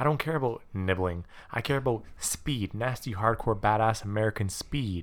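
Here is an ordinary speaking voice, with ordinary pitch variation, at a moderate pace. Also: man, medium pitch for a man. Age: young. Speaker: podcast co-host. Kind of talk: casual chat.

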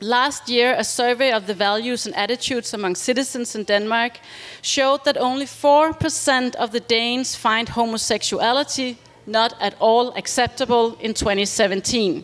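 Her pitch is high, with ordinary pitch variation. The woman speaks at a moderate pace. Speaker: nonprofit director. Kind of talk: reading aloud. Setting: stage with audience.

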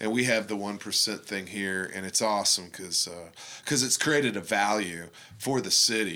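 Fairly low-pitched male voice, bright and sharp in tone, with ordinary pitch variation at a moderate pace. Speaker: artist and graphic designer. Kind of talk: interview. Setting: artist's studio.

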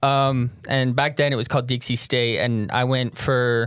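An American man speaks fairly slowly at a medium pitch. His is an unremarkable speaking voice. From Utah. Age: 20s. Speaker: person in addiction recovery. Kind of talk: personal testimony interview.

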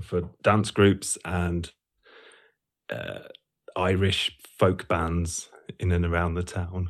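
Speaking in an East Midlands accent, a man has a very deep, low pitch and a monotone, flat intonation. He goes at a very slow pace, with long, frequent pauses. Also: very clean recording, silent background. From Lincolnshire, England. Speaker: musician and sound educator. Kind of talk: interview.

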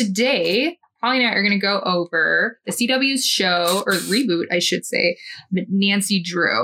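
A woman with a medium pitch speaks at a fairly slow pace, her loudness very even. It is a plain, everyday voice with ordinary pitch variation. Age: 30s. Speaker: podcast host. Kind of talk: casual chat.

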